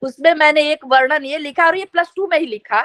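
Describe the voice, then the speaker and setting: In a raised, projected voice, a woman with a Bihari accent speaks at an extremely high pitch with a bright, sharp tone, the sound dry and close with no echo. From Bihar, Bhojpuri region, India. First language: Bhojpuri (speaking Hindi). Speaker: media professor. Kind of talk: interview.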